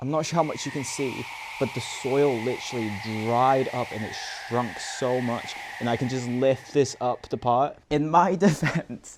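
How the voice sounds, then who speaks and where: The man keeps a moderate pace while noticeable background noise runs underneath. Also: medium pitch for a man, ordinary pitch variation. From Macau. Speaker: vlogger. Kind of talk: casual vlog talk.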